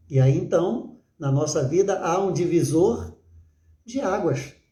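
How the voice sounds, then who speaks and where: Audible room echo surrounds a man whose high-pitched voice has a dark, mellow tone and very wide pitch swings. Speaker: pastor. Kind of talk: sermon. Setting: livestream. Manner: halting with filler words.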